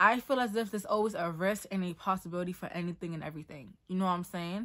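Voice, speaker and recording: Against a quiet background, a woman talks at a very fast pace in a bright, sharp tone. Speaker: modeling and acting student. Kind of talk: casual talk to camera. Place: home room. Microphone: earbuds.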